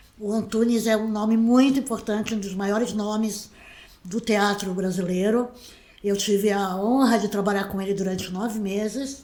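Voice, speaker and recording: Over noticeable background noise and audible room echo, a woman talks at a moderate pace with a fairly high pitch and monotone, flat intonation. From Brazil, Santos (São Paulo state). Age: 60s. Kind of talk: interview. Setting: her own home.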